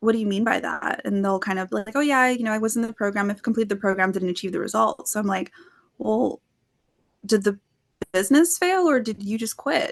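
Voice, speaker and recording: In an ordinary speaking voice, a woman talks at a fairly quick pace with a fairly high pitch and lively intonation. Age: 20s. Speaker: sales closer and podcast guest. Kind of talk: podcast interview.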